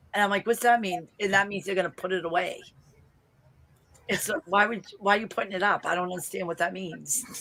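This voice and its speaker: A woman speaks at a fairly quick pace with fairly even intonation. Noticeable background noise runs under her voice. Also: medium pitch for a woman. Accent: Boston. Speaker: vlogger. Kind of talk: casual chat.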